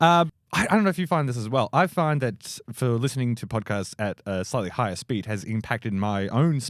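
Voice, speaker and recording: With an Australian accent, a man speaks at a medium pitch and a fairly quick pace, barely pausing, his intonation lively and the sound dry and close with no echo. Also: very clean recording, silent background. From Australia, Melbourne. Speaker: comedian. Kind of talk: casual chat. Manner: fast.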